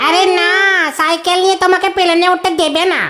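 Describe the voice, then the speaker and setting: A cartoonish character voice at an extremely high pitch speaks at a moderate pace with monotone, flat intonation over light background noise. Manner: anxious, chiming in.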